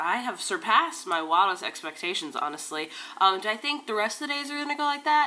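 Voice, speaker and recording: Music plays in the background as a woman speaks at a fairly high pitch. Her pitch swings very widely. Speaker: book vlogger. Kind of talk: casual vlog.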